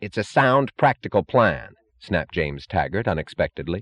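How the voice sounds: Quiet background behind a natural reading voice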